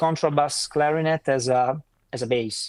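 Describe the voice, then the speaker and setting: On a very clean recording with a silent background, a man with an Italian accent speaks with fairly even intonation, the sound dry and close with no echo. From northern Italy. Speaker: saxophone player. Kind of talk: interview. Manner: halting; talkative.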